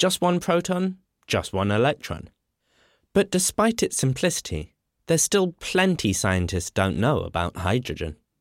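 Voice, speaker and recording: Heard in a dry, close sound with no echo on a very clean recording with a silent background, a man talks at a moderate pace. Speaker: podcast host. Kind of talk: scripted narration. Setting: studio.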